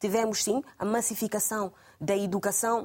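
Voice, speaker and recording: A woman talks at a medium pitch. Her delivery is fairly slow and monotone, with flat intonation. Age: young. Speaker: social activist. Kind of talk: televised panel debate. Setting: TV studio.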